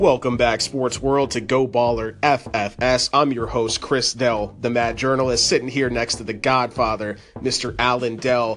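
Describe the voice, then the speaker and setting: A man at a medium pitch and a fairly slow pace, with hardly any pauses, over noticeable background noise. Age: 20s. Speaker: sports podcast host. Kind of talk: casual sports talk. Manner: animated.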